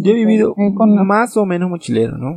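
In a dry, close sound with no echo, a man speaks with a dark, mellow tone and very wide pitch swings. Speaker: podcast co-host. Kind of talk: casual chat.

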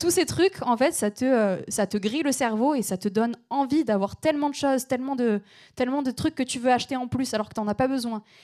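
A very clean recording with a silent background: a woman speaking at a high pitch, moderately paced, with ordinary pitch variation. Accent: slight southern French. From southern France, between Aix and Marseille. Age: 20s. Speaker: environmental journalist and activist. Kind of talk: panel discussion on stage. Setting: stage with audience.

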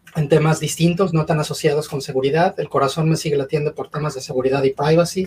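This is a plain, everyday voice at a fairly quick pace. Its intonation stays fairly even. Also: man. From Mexico. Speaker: cybersecurity consultant. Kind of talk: panel discussion.

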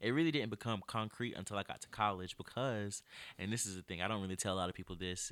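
A man with an American accent talks very fast in a fairly low voice with a bright, sharp tone and ordinary pitch movement. The recording is very clean, with a silent background. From North Carolina, Greenville. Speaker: college student and photographer. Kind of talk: casual interview.

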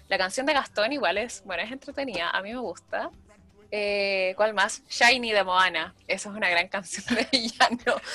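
With a Chilean accent, a woman talks at a moderate pace. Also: medium pitch for a woman, lively intonation. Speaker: podcaster. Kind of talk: casual chat.

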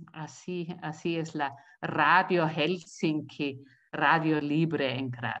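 The pace is very slow, with a German accent. The intonation stays fairly even. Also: woman, very deep, low pitch for a woman. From Austria. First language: German (speaking Spanish). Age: 60s. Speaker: community radio activist, retiree. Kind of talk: interview.

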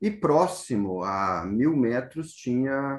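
There is lively intonation in this man's delivery. His pitch is medium. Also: quiet background. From southern Brazil, interior of Rio Grande do Sul. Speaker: professor. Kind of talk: interview. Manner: frequent fillers, tag questions.

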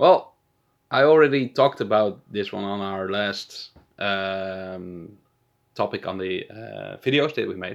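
Over a quiet background, a man with a Dutch accent talks at a fairly slow pace, his loudness swinging widely. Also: ordinary pitch variation. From Netherlands. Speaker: podcast co-host. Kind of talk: casual chat.

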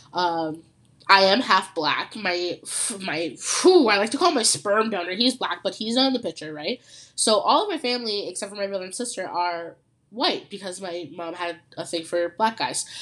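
With a Canadian accent and an animated tone, a woman at medium pitch and moderate pace uses lively intonation and big swings in loudness. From Ontario, Canada. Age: young. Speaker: podcast host. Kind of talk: casual solo chat.

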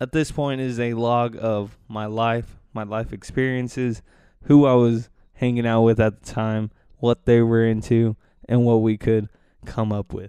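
A man's dark, mellow voice, fairly slow, in a monotone, flat intonation. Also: medium pitch for a man. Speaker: solo podcast host. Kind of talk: casual monologue. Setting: living room at home. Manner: soft-spoken; hesitant, many fillers.

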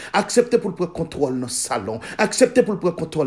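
A man with a Haitian accent speaks at a high pitch, his voice moving in very wide pitch swings. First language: Haitian Creole (speaking French). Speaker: pastor. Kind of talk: sermon.

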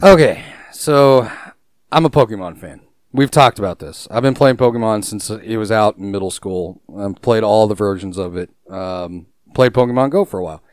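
A man with an ordinary speaking voice talks at a fairly low pitch and moderate pace, with lively intonation. His loudness swings widely, and the sound is dry and close with no echo. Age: 30s. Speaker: gaming podcast co-host. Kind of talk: casual chat. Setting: online call.

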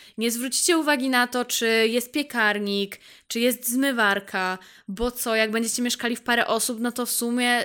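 Her voice is bright and sharp at a fairly high pitch, captured on a very clean recording with a silent background. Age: 20s. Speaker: podcaster. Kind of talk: casual monologue. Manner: animated.

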